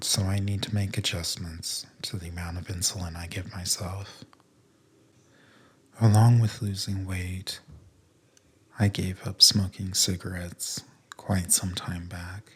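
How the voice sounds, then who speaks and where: Soft-spoken and somewhat breathy, the voice holds monotone, flat intonation with big swings in loudness. It moves at a fairly slow pace with long, frequent pauses. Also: man, very deep, low pitch for a man. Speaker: ASMR podcaster. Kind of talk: soft-spoken sleep podcast talk.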